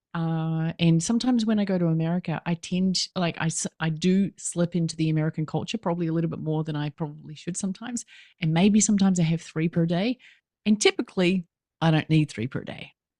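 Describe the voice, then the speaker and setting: A woman with a New Zealand accent talks at a very fast pace in a fairly low pitch, with a dark, mellow tone and ordinary pitch variation. The recording is very clean with a silent background and a dry, close sound with no echo. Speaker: business coach. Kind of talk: podcast interview. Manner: animated.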